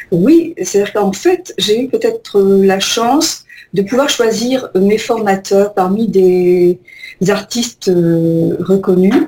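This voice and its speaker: This woman speaks at a very slow pace. Her pitch is medium, with ordinary variation. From Algeria. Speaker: painter. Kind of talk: radio interview. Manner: halting.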